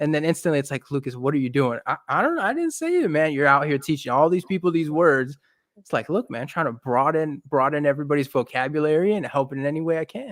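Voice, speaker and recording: With hardly any pauses, a man talks at a very fast pace in a fairly high pitch, on a very clean recording with a silent background. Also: ordinary pitch variation. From France. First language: French. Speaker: podcast host. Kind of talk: casual interview chat.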